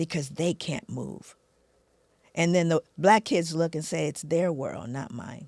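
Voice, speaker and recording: A woman's fairly low-pitched voice with vocal fry, ordinary pitch variation, big swings in loudness, and a fairly slow pace. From Los Angeles, US. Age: 60s. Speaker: social scientist and speaker. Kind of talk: podcast interview. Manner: animated.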